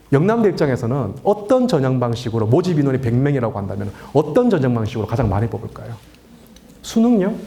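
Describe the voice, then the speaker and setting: Delivered in a Daegu accent, the speech moves at a fairly quick pace with an animated tone and very wide pitch swings, amid noticeable background noise and audible room echo. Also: man, medium pitch for a man. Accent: Gyeongsang (Daegu) dialect. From Daegu, South Korea. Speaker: education lecturer. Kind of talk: public lecture to parents. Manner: animated, rhetorical questions.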